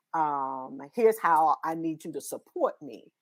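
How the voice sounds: A woman speaks at a low pitch. Her pitch varies in an ordinary way.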